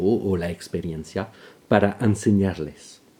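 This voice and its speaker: A man speaks at a fairly slow pace with a fairly low pitch. His tone is dark and mellow. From France. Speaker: violinist and violin teacher. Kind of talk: scripted narration. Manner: formal.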